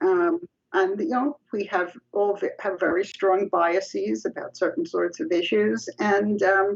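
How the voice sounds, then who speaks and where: A woman speaks at a fairly slow pace in a dry, close recording with no echo. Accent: New York. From New York. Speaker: psychology professor. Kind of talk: interview conversation.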